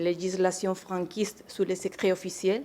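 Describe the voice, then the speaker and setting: In a Spanish accent, a woman speaks at a moderate pace and medium pitch with a dark, mellow tone and monotone, flat intonation. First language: Spanish (speaking French). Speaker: archivist, association president. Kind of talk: panel talk. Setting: conference in the Senate. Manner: halting, many fillers.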